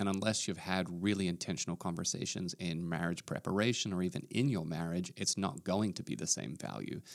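A man speaks with vocal fry at a very deep, low pitch and ordinary pitch variation, barely pausing, on a very clean recording with a silent background. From Australia. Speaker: pastor. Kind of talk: casual podcast discussion.

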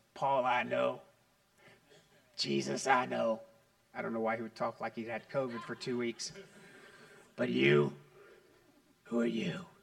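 A man puts on a hoarse, raspy character voice at a medium pitch. He talks at a moderate pace with long, frequent pauses.

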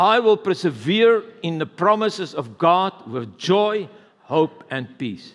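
In a South African accent, a man with a high pitch speaks at a very slow pace. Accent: Afrikaans-accented English. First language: Afrikaans. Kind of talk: sermon. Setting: church service with congregation.

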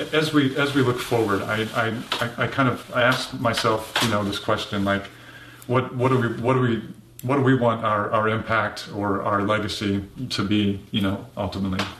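The room has an audible echo, and noticeable background noise is present. Delivery comes at a moderate pace with fairly even intonation. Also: man, medium pitch for a man. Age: 50s. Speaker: churchgoer sharing illness testimony. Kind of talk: testimony. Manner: halting, repeating words.

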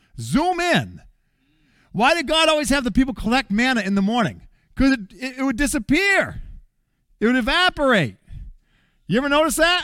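An animated man speaks in a raised, projected voice at an extremely high pitch, with a bright, sharp tone, lively intonation, a fairly quick pace and long, frequent pauses. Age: 50s. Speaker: pastor. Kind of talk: sermon.

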